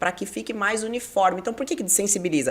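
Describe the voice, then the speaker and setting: A woman speaks over noticeable background noise. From southern Brazil, Curitiba. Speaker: TV presenter and radio host. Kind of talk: interview.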